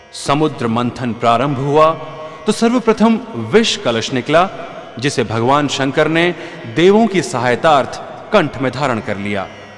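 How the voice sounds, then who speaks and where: Through noticeable background noise, a man with a fairly high pitch makes very wide pitch swings. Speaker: religious storyteller. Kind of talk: scripted narration. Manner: formal.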